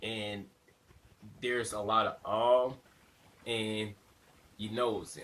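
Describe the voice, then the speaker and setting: In a bright, sharp tone, a man with a fairly low pitch speaks at a very slow pace. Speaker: vlogger. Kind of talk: self-critique vlog monologue. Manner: animated; frequent fillers (uh, you know).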